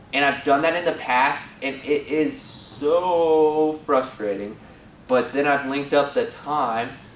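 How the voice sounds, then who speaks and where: Over noticeable background noise and audible room echo, a man talks with a fairly high pitch. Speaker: spiritual guide. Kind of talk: casual video talk. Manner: animated.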